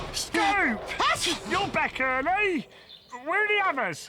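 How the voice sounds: Pitched extremely high, a cartoonish character voice moves along at a fairly slow pace.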